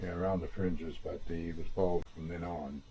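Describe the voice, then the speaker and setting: A somewhat breathy man with a dark, mellow tone speaks in an American accent. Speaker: family historian. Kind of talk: storytelling. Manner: halting.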